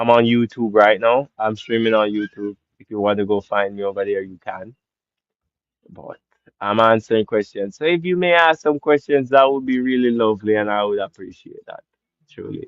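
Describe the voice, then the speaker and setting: Speaking with a Jamaican accent, a man at medium pitch shows big swings in loudness. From Jamaica, Portland parish. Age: 20s. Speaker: live streamer. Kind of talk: live stream Q&A chat.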